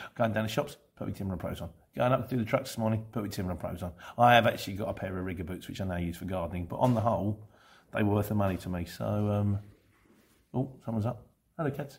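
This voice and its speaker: A man talks at a very fast pace in an English accent. His voice is fairly low-pitched and somewhat breathy. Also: ordinary pitch variation. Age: 50s. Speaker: van courier vlogger. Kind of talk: casual Q&A monologue.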